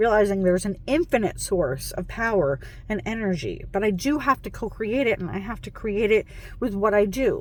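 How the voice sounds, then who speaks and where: Her intonation is lively and her tone animated. The woman speaks at a moderate pace at a fairly high pitch. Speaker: self-help vlogger. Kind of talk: motivational monologue. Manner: loud.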